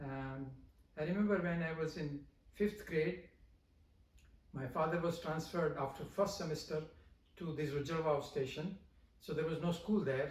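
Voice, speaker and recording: In a room with audible echo, a man talks at a moderate pace with fairly even intonation and long, frequent pauses. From India. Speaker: professor. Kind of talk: interview. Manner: halting, many fillers.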